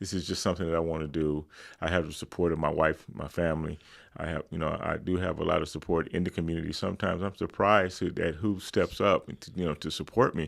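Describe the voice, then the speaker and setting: A man's very deep, low voice at a very fast pace, fairly even in intonation, in a very clean recording with a silent background. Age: 70s. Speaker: mental wellness advocate. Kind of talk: interview. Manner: halting, many repetitions.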